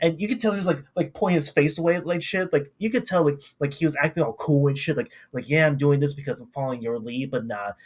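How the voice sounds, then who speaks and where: A man with a fairly high voice talks at a very fast pace, his tone animated and somewhat breathy, with ordinary pitch variation. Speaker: anime reviewer. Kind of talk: casual commentary rant.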